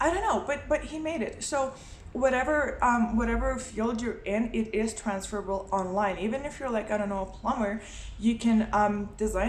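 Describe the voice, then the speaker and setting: Woman with a Lithuanian accent, fairly high pitch, ordinary pitch variation, moderate pace and audible room echo. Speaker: motorcycle travel vlogger and writer. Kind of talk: casual vlog talk. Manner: hesitant, many fillers.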